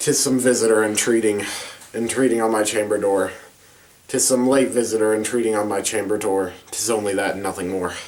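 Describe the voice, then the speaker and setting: A man puts on a character voice that is raspy and fairly low in pitch. He talks at a fairly quick pace. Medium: read story. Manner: anxious, mournful.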